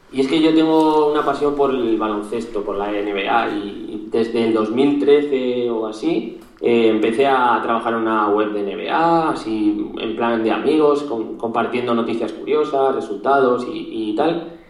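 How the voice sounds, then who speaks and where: Medium-pitched man's voice at a fairly slow pace, ordinary pitch variation and hardly any pauses, over noticeable background noise. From Spain, Zaragoza (Aragon). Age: 20s. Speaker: SEO specialist and podcaster. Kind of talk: interview. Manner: halting, frequent repetitions.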